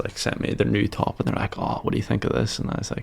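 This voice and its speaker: A man rushes through his words at a very fast pace while noticeable background noise sits behind him. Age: 20s. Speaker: e-commerce founder. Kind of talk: podcast interview. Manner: casual.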